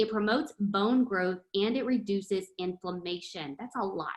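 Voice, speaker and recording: The speaker is a woman with a plain, everyday voice at a fairly high pitch. She talks at a moderate pace with ordinary pitch variation. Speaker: product trainer. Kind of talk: online training session.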